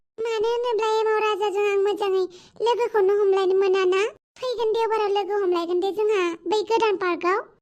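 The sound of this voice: Putting on a cartoonish character voice, a woman talks fairly slowly with an extremely high pitch.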